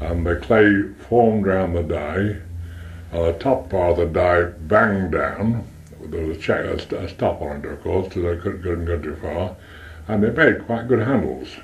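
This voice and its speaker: His voice sits at a very deep, low pitch, and the man varies it in an ordinary way. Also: moderate pace. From Stoke-on-Trent, England; England. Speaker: retired pottery manufacturer. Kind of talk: oral history interview. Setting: front room at home. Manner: halting, repetitive. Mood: relaxed reminiscing. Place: home room. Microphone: cassette recorder, poor audio; old recording.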